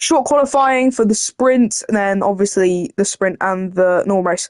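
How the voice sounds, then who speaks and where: The recording of this woman's fairly high-pitched voice has a dry, close sound with no echo. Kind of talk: sports commentary. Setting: motorsport race commentary.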